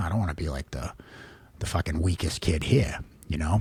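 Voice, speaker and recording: A man at a very fast pace, dry, close sound with no echo, noticeable background noise. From Massachusetts, Boston area (Reading). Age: 40s. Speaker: podcast host. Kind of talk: personal monologue, casual. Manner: casual, profane, many fillers.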